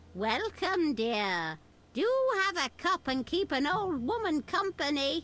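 Doing a put-on character voice, a woman speaks slowly at a high pitch with a fairly bright tone and big pitch swings.

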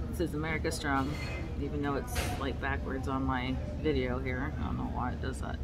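A woman talks at a fairly quick pace. Music plays clearly in the background. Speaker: road trip vlogger. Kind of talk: casual vlog chat. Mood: relaxed, chatty. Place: cafe. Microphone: phone near.

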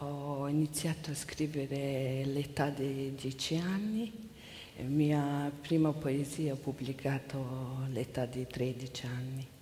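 A very slow, fairly even-toned voice with a Mongolian accent over light background noise. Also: woman, very deep, low pitch for a woman. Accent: Mongolian-accented Italian. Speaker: interpreter. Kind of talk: consecutive interpreting. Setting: stage with audience. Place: stage. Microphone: headset.

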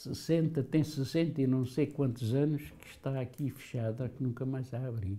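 A man talks fairly slowly at a medium pitch, with hardly any pauses. His dark, mellow tone is somewhat breathy, and his intonation stays fairly even. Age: 80s+. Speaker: former political prisoner. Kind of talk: testimony. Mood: calm, reflective. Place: home room. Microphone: lapel.

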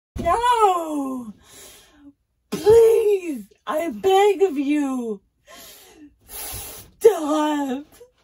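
A woman performs a put-on character voice at a high pitch. Her pitch swings very widely. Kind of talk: improvised character story. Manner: pleading, then defiant.

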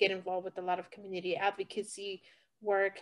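Against a quiet background, a woman speaks at a medium pitch. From California, US (born in Puebla, Mexico); California. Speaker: fire survivor and community advocate. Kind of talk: interview testimony. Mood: reflective, personal. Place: home room. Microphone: video call.

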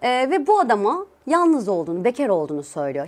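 A woman speaks with a fairly high pitch. Her pace is fairly quick. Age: 30s. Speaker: YouTuber. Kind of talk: casual vlog talk to camera.

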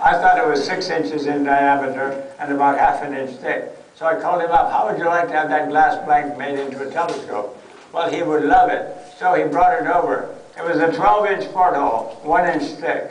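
Speech at a moderate pace with audible room echo. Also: man, high pitch for a man. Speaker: guest. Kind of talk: lecture. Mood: humorous, enthusiastic. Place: tent. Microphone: camera far.

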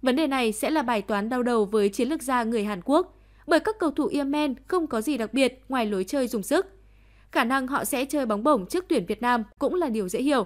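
Fairly quick pace and lively intonation come through in a very clean recording with a silent background. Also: woman, high pitch for a woman. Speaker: news reader. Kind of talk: news reading.

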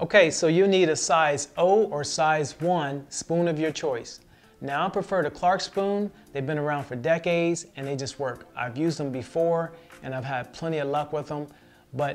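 A man talks at a moderate pace with ordinary pitch variation while faint music plays in the background. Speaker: fishing channel host. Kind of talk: tutorial. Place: home room.

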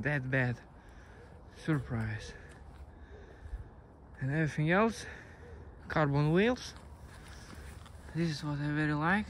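Fairly slow delivery over light background noise, with a dry, echo-free sound. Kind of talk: casual product review. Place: open country. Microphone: phone near.

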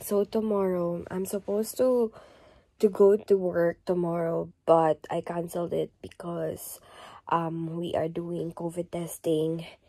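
A woman with a fairly low pitch speaks at a fairly slow pace against a quiet background. Her tone is dark and mellow, and her intonation fairly even. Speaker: vlogger. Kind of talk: casual vlog chat. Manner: quiet, sick voice in bed. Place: home room. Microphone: phone near.

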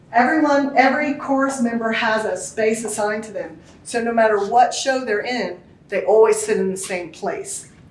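Lively intonation moves along at a moderate pace, with audible room echo in the recording. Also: woman. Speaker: tour guide. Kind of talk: guided tour explanation. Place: hall. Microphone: camera far.

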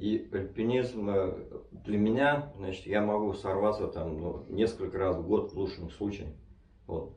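In a room with audible echo, a man talks at a fairly slow pace, his somewhat breathy voice fairly low in pitch with ordinary pitch variation. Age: 60s. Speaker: mountaineer. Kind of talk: interview answer. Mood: relaxed, animated storytelling. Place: home room.

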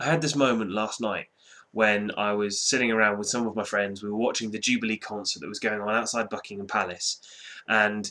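A man speaks at a fairly quick pace with fairly even intonation. His tone is bright and sharp. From Britain. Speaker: YouTube vlogger. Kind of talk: vlog monologue. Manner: casual, conversational. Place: home room. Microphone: webcam.

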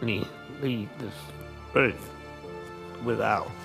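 Clear music runs in the background while a man speaks. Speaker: massacre survivor. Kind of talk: congressional testimony. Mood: solemn, pleading. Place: hall. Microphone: podium.

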